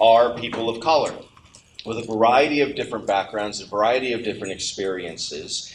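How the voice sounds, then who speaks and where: Amid noticeable background noise, a man speaks at a fairly quick pace with a medium pitch and ordinary pitch variation. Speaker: church elder. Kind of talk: welcome speech and prayer. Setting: stage with audience.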